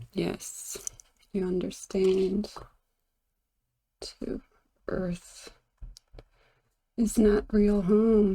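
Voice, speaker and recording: A quiet woman speaks at a medium pitch with a dark, mellow tone, very slowly and with long, frequent pauses. Her intonation stays monotone and flat. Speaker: tarot and pendulum reader. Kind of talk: divination reading.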